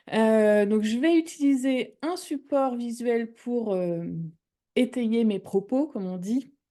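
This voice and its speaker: Against a quiet background, a woman with a fairly high pitch and a dark, mellow tone speaks very slowly with lively intonation. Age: 30s. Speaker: wellness product presenter. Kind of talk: webinar presentation. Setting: livestream with chat. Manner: hesitant, many fillers.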